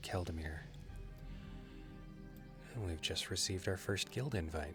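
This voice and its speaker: Soft-spoken and soothing in tone, the voice moves at a moderate pace over music in the background. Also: man. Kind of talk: ASMR soft-spoken gameplay commentary. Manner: soft-spoken, soothing.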